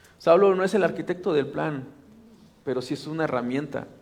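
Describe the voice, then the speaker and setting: With audible room echo around him, a man speaks in a Mexican accent. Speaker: pastor. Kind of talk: sermon. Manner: animated.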